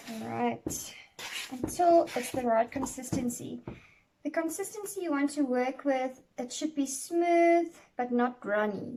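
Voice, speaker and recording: Speaking with a non-native accent, a woman uses lively intonation in a high pitch with a dark, mellow tone. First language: not English. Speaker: cake decorating tutor. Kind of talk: tutorial. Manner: halting, many fillers.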